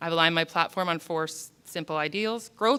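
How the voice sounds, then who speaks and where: Speaking very fast with a Canadian accent, a woman has a fairly low pitch and a bright, sharp tone on a very clean recording with a silent background. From southern Alberta, Canada (Lethbridge). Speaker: council candidate. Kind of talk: candidate speech at public forum. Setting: public forum with audience.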